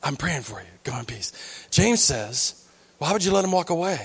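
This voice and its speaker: At a moderate pace, a man with a somewhat breathy, fairly high voice swings very widely in pitch. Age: 40s. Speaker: pastor. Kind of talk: sermon. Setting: church. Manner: halting.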